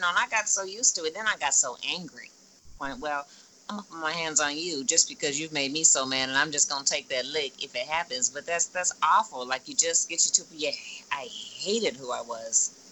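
With music in the background, a woman with a very deep, low pitch talks at a fairly quick pace, her intonation lively and her loudness swinging widely. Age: 40s. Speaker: esthetician and makeup artist. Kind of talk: casual interview.

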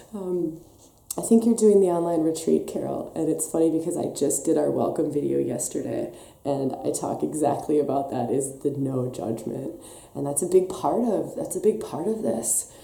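With an American accent and lively intonation, a woman speaks in a very deep, low voice over noticeable background noise. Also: moderate pace. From Wisconsin, US. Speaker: women's wellness coach and podcast host. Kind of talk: live stream talk with guided practice. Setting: live stream on camera.

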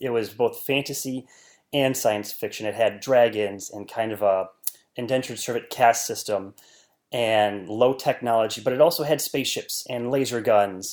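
A man with an ordinary speaking voice and an American accent, at medium pitch and moderate pace with ordinary pitch variation, in a very clean recording with a silent background. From US Midwest, rural northern Wisconsin. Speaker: scientist and novelist. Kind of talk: interview.

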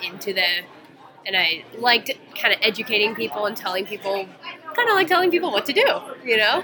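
Against crowd noise in the background, a woman with an American accent talks very fast at a medium pitch, with lively intonation and long, frequent pauses. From US South, Atlanta, Georgia. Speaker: physical therapy student. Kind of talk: interview. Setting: conference.

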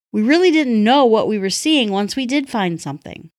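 This woman has an unremarkable speaking voice with an American accent, fairly high pitch and lively intonation. She speaks at a moderate pace on a very clean recording with a silent background. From North Woods region, US upper Midwest. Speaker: listener contributor. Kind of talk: recorded review.

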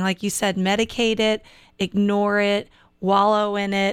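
Heard in a very clean recording with a silent background, a woman speaks in a plain, everyday voice at a medium pitch. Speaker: radio host. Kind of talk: interview. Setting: studio.

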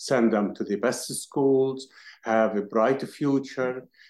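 A man with an Arabic accent, very slow pace and fairly even intonation. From Palestine. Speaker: activist. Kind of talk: interview.

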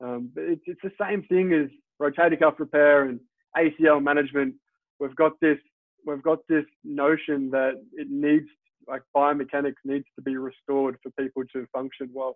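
A man with an Australian accent speaks at a moderate pace in a fairly high pitch, his intonation fairly even but his loudness swinging widely. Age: 30s. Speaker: physiotherapist. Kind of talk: interview.

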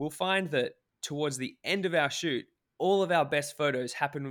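In a very clean recording with a silent background, a man with an Australian accent talks at a moderate pace with ordinary pitch variation. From Australia, Cairns, far north Queensland. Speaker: travel photographer and YouTube filmmaker. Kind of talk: casual interview. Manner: halting, many fillers and restarts.

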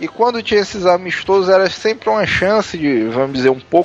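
Against noticeable background noise, a man with a high voice speaks at a moderate pace with lively intonation. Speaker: podcast co-host. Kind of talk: casual chat.

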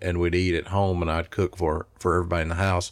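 In a Tennessee accent, a man speaks very fast in a very deep, low, flat monotone, recorded very cleanly against a silent background. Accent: Southern US (Tennessee). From Middle Tennessee (Smyrna, near Nashville). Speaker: barbecue restaurant owner. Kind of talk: interview conversation.

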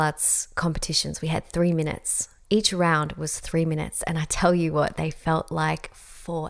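A woman with an Australian accent speaks at a moderate pace on a very clean recording with a silent background. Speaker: podcast host and coach. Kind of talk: solo podcast monologue. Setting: home, beside fireplace.

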